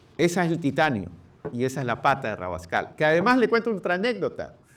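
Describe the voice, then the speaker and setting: A man speaks at a fairly quick pace and a fairly high pitch. His pitch swings very widely. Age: 60s. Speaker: presidential candidate. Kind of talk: interview.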